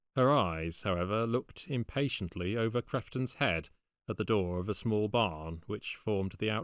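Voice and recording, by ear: The background is quiet. The reading aloud is done in a natural voice.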